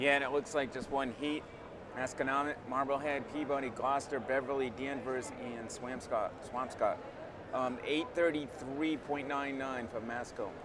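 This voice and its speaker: A man with a Rhode Island accent speaks at a moderate pace in a fairly high pitch, his intonation monotone and flat, with noticeable background noise and audible room echo. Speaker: track coach and co-announcer. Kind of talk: live commentary.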